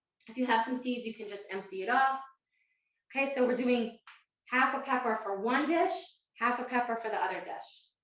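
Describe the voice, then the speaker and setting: The speech moves at a fairly quick pace, broken by long, frequent pauses. Loudness swings widely, and room echo is audible. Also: woman, high pitch for a woman, ordinary pitch variation. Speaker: cooking instructor. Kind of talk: live online cooking class. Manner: fast.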